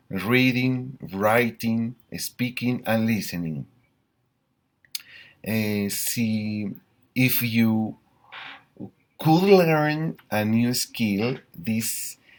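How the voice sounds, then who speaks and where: Speaking very slowly with a Colombian accent, a man at medium pitch uses ordinary pitch variation. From Colombia, Bogotá. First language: Spanish. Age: 40s. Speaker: school teacher. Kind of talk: language practice self-introduction. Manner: halting, many fillers.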